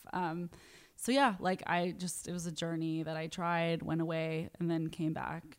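A woman with a plain, everyday voice speaks at a moderate pace, fairly low in pitch for a woman, on a very clean recording with a silent background. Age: 20s. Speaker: comedian. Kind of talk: casual chat.

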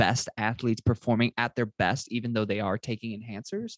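Over a quiet background, a man talks in a plain, everyday voice at a medium pitch and a fairly quick pace, the sound dry and close with no echo. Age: 20s. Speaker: podcast host. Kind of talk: interview.

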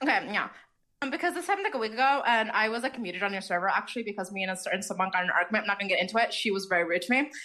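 Speaking very fast, a woman has an American accent and a medium pitch. Her intonation is lively. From Wisconsin. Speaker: caller. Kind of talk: phone-in call. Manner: fast, halting with many fillers.

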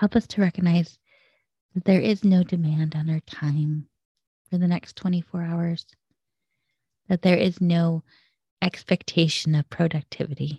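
At a fairly slow pace with long, frequent pauses, a woman speaks at a fairly low pitch in a somewhat breathy, dark, mellow, warm tone, the sound dry and close with no echo. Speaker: podcast host leading a prayer. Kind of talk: fervent prayer of blessing, spoken as a guided prayer. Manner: earnest, warm, hushed and reverent.

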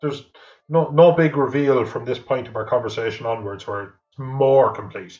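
Somewhat breathy delivery in an Irish accent, with big swings in loudness. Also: man, medium pitch for a man, ordinary pitch variation, moderate pace. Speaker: podcast co-host. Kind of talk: casual film review chat. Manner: joking, playful.

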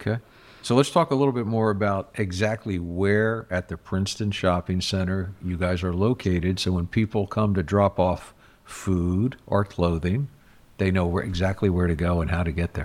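At a moderate pace, a man with a very deep, low voice speaks with ordinary pitch variation. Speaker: podcast host and mayor. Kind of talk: casual interview.

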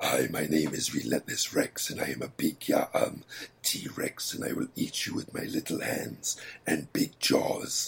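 In a raspy put-on character voice, a man talks at a fairly slow pace with hardly any pauses. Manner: menacing.

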